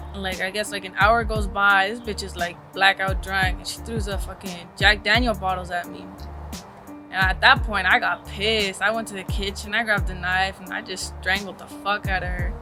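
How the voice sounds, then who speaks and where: Music plays behind a woman with an American accent speaking at a moderate pace. Her loudness swings widely. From East Los Angeles. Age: 20s. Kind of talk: documentary interview answer. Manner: casual, slangy.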